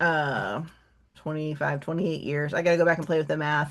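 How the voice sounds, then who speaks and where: A woman speaks with an animated, bright and sharp tone. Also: quiet background. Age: 50s. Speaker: book reviewer, literature vlogger. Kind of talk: casual chat. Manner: halting, many fillers.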